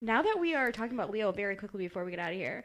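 A woman's medium-pitched voice. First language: not English. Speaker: podcast host. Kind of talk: casual chat. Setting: studio. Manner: animated.

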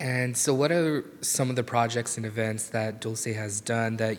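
A man with a plain, everyday voice and an American accent talks at a moderate pace and medium pitch. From Delano, California Central Valley. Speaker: youth reporter. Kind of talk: interview.

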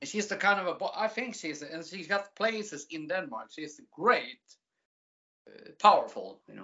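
Speaking at a fairly slow pace in a Swedish accent, a woman of medium pitch uses lively intonation with big swings in loudness. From Sweden. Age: 40s. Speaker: music entertainer and aspiring adult performer. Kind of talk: casual interview.

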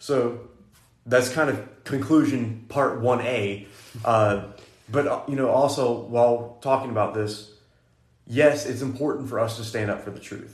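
Somewhat breathy and at a medium pitch, a man talks at a fairly slow pace with fairly even intonation and big swings in loudness. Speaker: podcast host, Bible college student. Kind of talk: casual faith discussion podcast.

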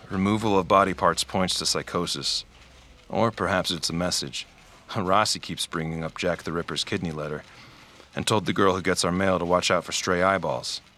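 Very deep and low in pitch, a man delivers his lines deadpan at a moderate pace, his tone bright and sharp and his intonation fairly even. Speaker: fictional detective narrator. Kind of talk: noir detective case-file narration, scripted audio drama monologue. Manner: terse, clipped, deadpan.

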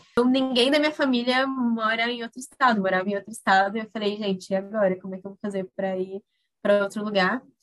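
The woman's pitch is fairly high, with ordinary pitch variation. She talks at a very fast pace in a dry, close sound with no echo. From Brazil, Mato Grosso do Sul (Corumbá, Pantanal). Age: 20s. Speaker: humanitarian worker. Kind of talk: interview.

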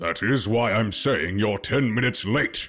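Faint music plays behind a man who uses a put-on character voice at medium pitch and a moderate pace. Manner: stern, upset.

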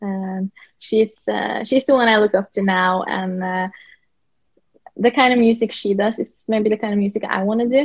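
A woman with a Norwegian accent speaks at a medium pitch and a moderate pace, with fairly even intonation. The sound is dry and close, with no echo. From Norway. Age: 20s. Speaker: country singer-songwriter. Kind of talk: interview. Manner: halting, many fillers.

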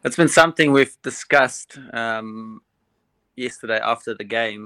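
A man with a medium pitch and a bright, sharp tone speaks at a fairly slow pace, his loudness swinging widely. The recording is very clean, with a silent background and a dry, close sound with no echo. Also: ordinary pitch variation. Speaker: cricket coach. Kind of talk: casual radio interview. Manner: relaxed, friendly.

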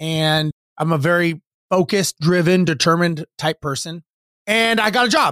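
This man has a high pitch, an American accent, and a bright, sharp, animated tone. His pitch variation is ordinary, and the sound is dry and close with no echo. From US West, Los Angeles. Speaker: real estate investor and former airline pilot. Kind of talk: interview.

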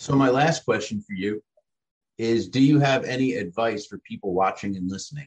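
In a dry, close recording with no echo, a man with a plain, everyday voice speaks at medium pitch with lively intonation and big swings in loudness. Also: moderate pace. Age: 30s. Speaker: podcast host, recovering addict. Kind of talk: interview.

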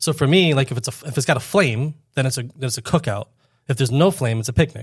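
Very fast and somewhat breathy, a man speaks with an American accent. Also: medium pitch for a man, ordinary pitch variation. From Florida, Fort Lauderdale. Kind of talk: casual chat.

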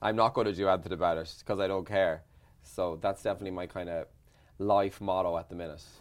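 Speaking very fast in a monotone, flat delivery, a man with an Irish accent has a very deep, low pitch. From Ireland. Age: 40s. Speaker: radio presenter and journalist.

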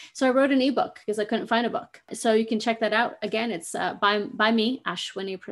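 An unremarkable speaking voice belongs to a woman with an American accent, fairly high in pitch with ordinary pitch variation. She speaks at a fairly quick pace over a quiet background. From US Pacific Northwest. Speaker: podcast host and screenwriter. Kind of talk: solo podcast monologue.

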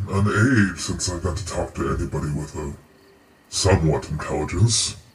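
In a put-on character voice, a man speaks very deep and low. His pace is moderate. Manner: genteel, condescending, menacing.

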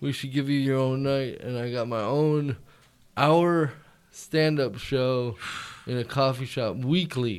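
At a fairly slow pace, a man talks in a plain, everyday voice of medium pitch with ordinary pitch variation. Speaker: comedian. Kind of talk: casual chat. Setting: studio.

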